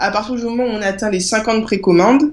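At a moderate pace, a woman with a fairly high pitch and ordinary pitch variation speaks in a plain, everyday voice. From Guadeloupe. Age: 20s. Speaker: author and project creator. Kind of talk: interview.

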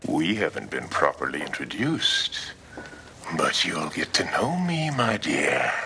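Using a put-on character voice, a man talks at a fairly slow pace amid clear background noise. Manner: smooth, sinister, purring.

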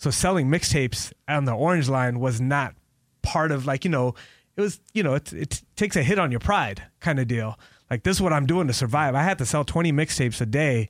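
This man has an unremarkable speaking voice, fairly high in pitch, talking at a fairly quick pace with lively intonation on a very clean recording with a silent background. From Los Angeles, Pakistani family. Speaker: radio DJ. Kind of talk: casual interview. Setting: radio studio.

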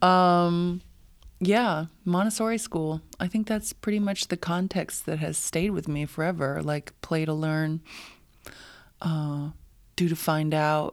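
On a very clean recording with a silent background, a woman with an American accent speaks at a very slow pace, her pitch fairly low with ordinary variation. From US Southwest, New Mexico. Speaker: dancer and choreographer. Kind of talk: casual chat. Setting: in person at a dance school.

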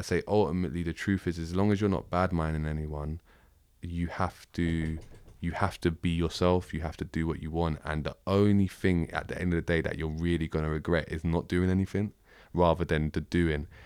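A man's very deep, low voice with a South London accent, flat and monotone, at a fairly quick pace, on a very clean recording with a silent background. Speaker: rapper. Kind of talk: casual interview.

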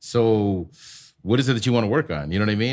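A plain, everyday voice from a man with an American accent, medium-pitched, fairly quick and lively in intonation. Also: very clean recording, silent background. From US Midwest, Chicago. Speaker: DJ instructor. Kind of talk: casual chat.

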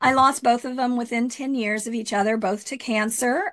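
An ordinary speaking voice from a woman with fairly high pitch, moderate pace and ordinary pitch variation, against a quiet background. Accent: American. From Texas, Rio Grande Valley. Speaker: mayor and county supervisor candidate. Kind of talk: interview.

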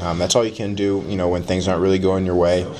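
A man speaks with a very deep, low pitch and monotone, flat intonation. Noticeable background noise runs behind him. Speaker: football player. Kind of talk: interview answers after practice.

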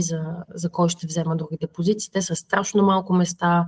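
A woman's fairly low, somewhat breathy voice, monotone and flat, at a moderate pace. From Bulgaria, Plovdiv. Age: 30s. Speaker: biotech startup founder and scientist. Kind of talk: interview. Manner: halting, many fillers.

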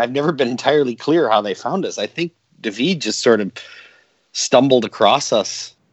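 A man's normal speaking voice, fairly high in pitch, with lively intonation at a moderate pace. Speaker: electronic musician, singer. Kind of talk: casual interview chat.

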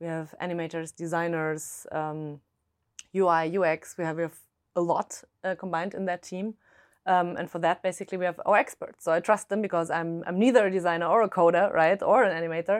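With a German accent, a woman speaks at a fairly quick pace in a fairly low pitch and fairly even intonation, the sound dry and close with no echo over a quiet background. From Germany. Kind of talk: casual interview. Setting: studio. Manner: frequent hesitations and fillers.

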